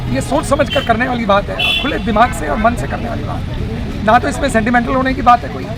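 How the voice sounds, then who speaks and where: Music plays behind a man with an extremely high pitch and lively intonation. He speaks with hardly any pauses. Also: moderate pace. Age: 60s. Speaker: retired civil servant. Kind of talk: street interview.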